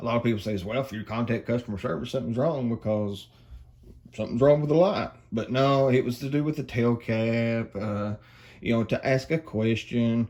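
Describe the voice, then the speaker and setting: A man with an Appalachian accent, medium pitch, ordinary pitch variation and a moderate pace. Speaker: flashlight reviewer. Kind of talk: product review. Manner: casual, hesitant with many fillers.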